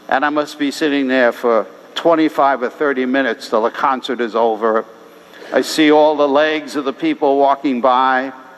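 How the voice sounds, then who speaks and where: Noticeable background noise sits under a man speaking at a moderate pace, his pitch fairly high and his intonation fairly even. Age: 70s. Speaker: priest. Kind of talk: sermon. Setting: church.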